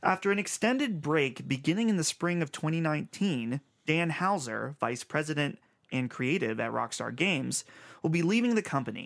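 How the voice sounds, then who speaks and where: Here a man talks at a moderate pace with a fairly high pitch. His intonation is lively, and he has an ordinary speaking voice. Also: quiet background. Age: 20s. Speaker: video game podcast host. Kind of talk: casual chat.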